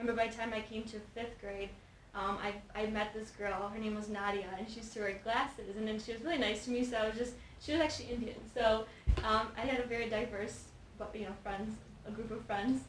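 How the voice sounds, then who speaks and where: A woman with a Polish accent talks at a very fast pace, fairly high in pitch and flat in intonation, amid noticeable background noise and audible room echo. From Chicago, US (Polish immigrant family). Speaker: nonprofit founder. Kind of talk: interview. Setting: studio.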